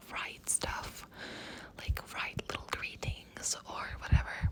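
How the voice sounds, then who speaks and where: Someone whispers over noticeable background noise. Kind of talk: casual talk to camera. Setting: outdoors. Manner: whispered.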